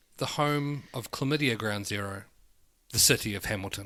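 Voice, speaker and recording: Speaking with a New Zealand accent, a man uses a bright, sharp tone and ordinary pitch variation at a moderate pace. The recording is very clean, with a silent background. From New Zealand, Wellington. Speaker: podcast co-host. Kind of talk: casual chat.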